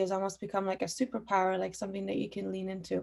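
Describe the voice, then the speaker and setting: A woman with an Iranian accent speaks at medium pitch on a very clean recording with a silent background. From Austria (Vienna), Iranian family, moved to Canada. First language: Farsi. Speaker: musician. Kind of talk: panel discussion. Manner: frequent fillers.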